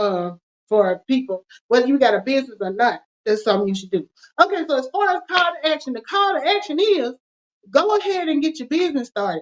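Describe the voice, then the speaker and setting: The speaker talks at a very fast pace with a Southern US accent, and the pitch swings very widely. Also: woman, high pitch for a woman. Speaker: finance show host. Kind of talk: casual chat. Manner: casual, informal.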